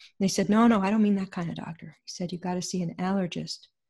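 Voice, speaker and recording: Against a quiet background, a woman speaks at a fairly quick pace in a dark, mellow, somewhat breathy voice. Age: 70s. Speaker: author and intuitive therapy coach. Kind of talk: interview storytelling.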